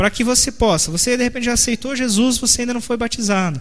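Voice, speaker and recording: A man speaks at a fairly quick pace. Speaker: pastor. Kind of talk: sermon. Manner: fast.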